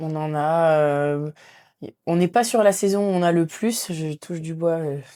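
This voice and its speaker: Dark and mellow in tone, a woman's fairly low voice moves at a fairly slow pace. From northern France. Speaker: physiotherapist and rugby player. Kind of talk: podcast interview.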